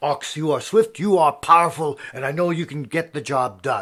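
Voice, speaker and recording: A man's fairly high put-on character voice in a very clean recording with a silent background. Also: moderate pace. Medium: solo performance. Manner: imperious, commanding.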